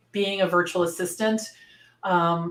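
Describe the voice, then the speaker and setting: In a plain, everyday voice, a woman talks at a fairly quick pace with a fairly low pitch and ordinary pitch variation. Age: 60s. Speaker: virtual assistant business owner and coach. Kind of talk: interview.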